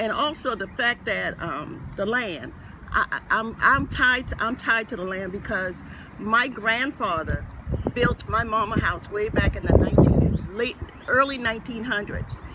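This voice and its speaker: In an American accent, a man speaks at an extremely high pitch with ordinary pitch variation. His pace is fairly slow, and there is noticeable background noise. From Gullah Geechee community, US Southeast. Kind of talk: interview answer.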